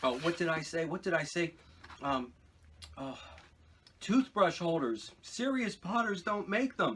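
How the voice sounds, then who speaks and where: A high-pitched man, fairly slow, with very wide pitch swings and long, frequent pauses. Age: 60s. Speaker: potter and video blogger. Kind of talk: casual vlog talk while eating. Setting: home pottery studio. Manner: hesitant, many fillers.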